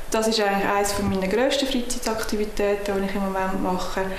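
A woman speaks with a Swiss German accent. Audible room echo and light background noise surround her voice. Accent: Swiss German (Uri). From Switzerland (canton Uri). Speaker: political candidate. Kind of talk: campaign self-introduction. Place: home room.

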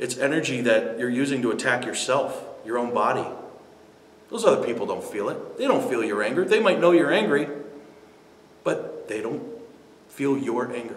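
A man speaks at a moderate pace, leaving long, frequent pauses. Audible room echo fills the recording. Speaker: speaker. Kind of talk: motivational talk to camera. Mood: earnest, persuasive about forgiveness. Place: studio.

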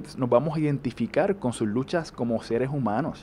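The speaker has a Puerto Rican accent and a moderate pace. Pitch varies in an ordinary way, with light background noise behind. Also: man. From Puerto Rico. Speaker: actor. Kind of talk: interview. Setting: on a TV set. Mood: warm, animated, smiling. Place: home room. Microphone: handheld.

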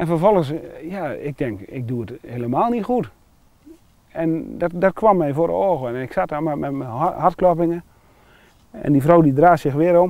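Lively intonation and a fairly high pitch mark this man's voice, recorded with a dry sound and no echo. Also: moderate pace. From Netherlands, Wapenveld/Wezep area (Gelderland); Gelderland, Netherlands. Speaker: churchgoer sharing faith story; interviewee. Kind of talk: testimony. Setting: outdoors. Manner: halting. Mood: earnest, personal, emotional story. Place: open country.

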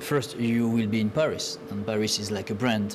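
Fairly slow speech with a French accent amid noticeable background noise. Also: man. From France. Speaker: TV talk show co-host. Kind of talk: talk show hosting. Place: studio. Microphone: lapel.

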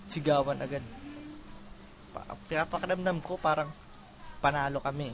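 A man speaks at a fairly slow pace. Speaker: gaming let's play commentator. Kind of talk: casual gameplay commentary. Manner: halting.

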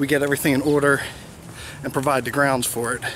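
The sound is dry with no echo, with noticeable background noise. A man speaks at a fairly quick pace. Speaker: vlogger. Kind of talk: casual vlog chat. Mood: calm, reflective. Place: street. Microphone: phone near.

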